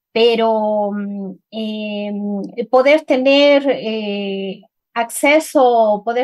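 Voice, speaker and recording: This woman has a Cuenca Ecuadorian accent. Her pitch sits fairly high. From Ecuador, Cuenca. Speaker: writer. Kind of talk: interview conversation. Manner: halting, many repetitions and fillers.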